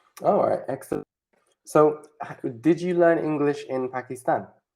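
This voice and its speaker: The voice has a British accent. The pace is moderate. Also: long, frequent pauses. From Spain and Britain. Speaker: online English tutor. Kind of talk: casual chat.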